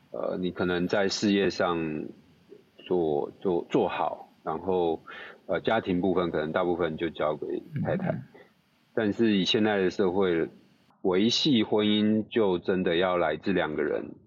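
A man with a very deep, low pitch, ordinary pitch variation and a fairly slow pace. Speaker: neurosurgeon. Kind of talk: casual chat.

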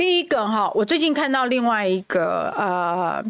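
Her voice fairly high in pitch, a woman speaks with very wide pitch swings. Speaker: parliamentary candidate. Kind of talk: casual chat.

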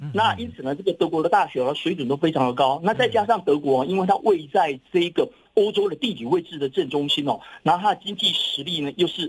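A man speaks very fast at a high pitch. His intonation is lively. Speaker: professor. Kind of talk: interview.

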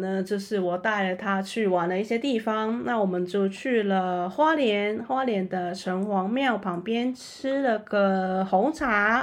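At a very slow pace and with hardly any pauses, a woman speaks at a medium pitch with ordinary pitch variation. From Macau. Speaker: podcast host. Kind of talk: interview.

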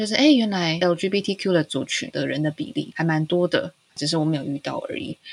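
A woman speaks at a moderate pace and a fairly low pitch. Her voice is somewhat breathy. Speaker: podcast co-host, mother. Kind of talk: casual chat.

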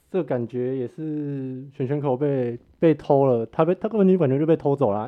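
The clip has a normal speaking voice delivered at a moderate pace. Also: man. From Taiwan, Hsinchu. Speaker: MMA fan with small video channel. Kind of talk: casual chat.

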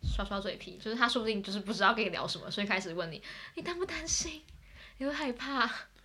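Talking at a very fast pace, a woman's pitch swings very widely while noticeable background noise plays underneath. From Taipei, Taiwan. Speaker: exchange student. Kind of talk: casual chat.

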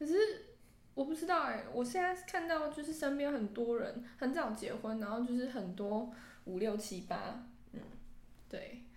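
Audible room echo surrounds a woman's high-pitched voice with lively intonation. She keeps a moderate pace, broken by long, frequent pauses. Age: 20s. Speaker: podcast co-host. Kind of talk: casual chat. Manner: animated.

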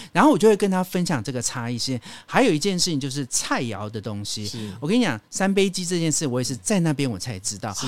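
Very wide pitch swings mark this very fast delivery, which has hardly any pauses. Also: man, fairly high pitch for a man. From Taiwan, Hakka community. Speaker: radio host and travel writer. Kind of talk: casual chat.

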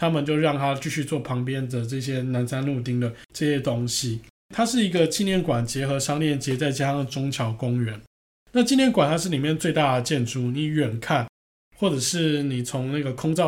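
A plain, everyday voice from a man, pitched fairly high, at a moderate tempo with ordinary pitch variation. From Taiwan. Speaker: podcast host, architecture travel enthusiast. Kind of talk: casual travel chat.

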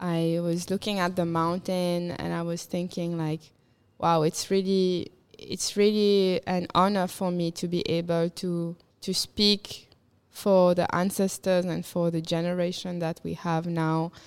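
On a very clean recording with a silent background, a woman with a fairly low pitch talks very slowly in a monotone, flat intonation. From Mauritius. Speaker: musician. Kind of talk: casual chat.

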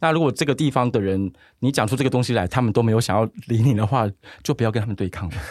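A man at a medium pitch talks at a very fast pace with ordinary pitch variation, on a very clean recording with a silent background. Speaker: podcast co-host, meme page admin. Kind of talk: casual chat.

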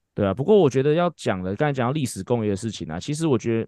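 An unremarkable speaking voice moves at a fairly quick pace with lively intonation. The sound is dry and close with no echo, over a quiet background. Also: man. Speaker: baseball fitness coach and podcast host. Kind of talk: casual chat.

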